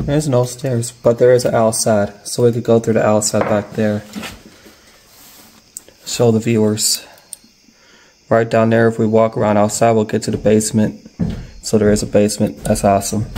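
The pace is moderate, broken by long, frequent pauses. Light background noise sits underneath. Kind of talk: casual vlog chat. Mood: excited, spooky. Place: home room. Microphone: phone near.

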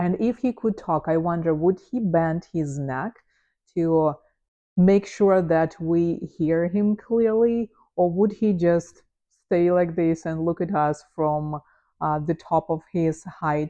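A woman speaks at a very slow pace with a non-native accent. Her tone is relaxed and her pitch fairly low. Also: ordinary pitch variation, quiet background. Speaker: photographer. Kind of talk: unscripted casual talk to camera. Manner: relaxed, with filler words and pauses. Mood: relaxed, amused. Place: home room. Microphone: lapel.

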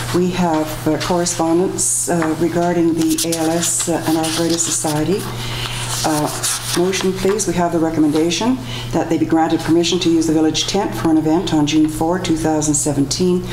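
A woman talks at a moderate pace with a fairly low pitch and fairly even intonation, heard through noticeable background noise. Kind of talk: formal meeting procedure. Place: meeting room. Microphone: podium.

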